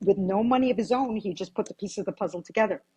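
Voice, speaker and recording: Here a woman's voice has a dark, mellow tone and is somewhat breathy. Her pitch variation is ordinary. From US Virgin Islands (Saint Croix). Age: 60s. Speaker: real estate agent. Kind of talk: interview. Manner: repetitive, stammering restarts.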